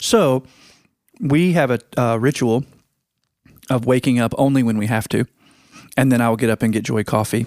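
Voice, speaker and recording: A man with a medium-pitched voice and an American accent talks at a moderate pace, with ordinary pitch variation and long, frequent pauses. The sound is dry and close with no echo, on a very clean recording with a silent background. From Virginia. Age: 40s. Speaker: podcast host. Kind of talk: casual chat.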